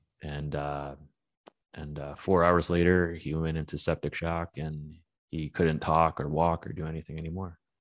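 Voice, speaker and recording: A man with an American accent talks at a moderate pace in a very deep, low voice. His intonation is monotone and flat over a quiet background. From Brooklyn, New York. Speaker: metal media founder. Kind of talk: casual chat.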